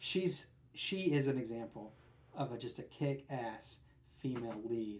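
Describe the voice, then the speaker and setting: A somewhat breathy man at a medium pitch, fairly slow in pace, with ordinary pitch variation. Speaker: podcast co-host. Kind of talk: casual chat. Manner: halting, stumbling over words.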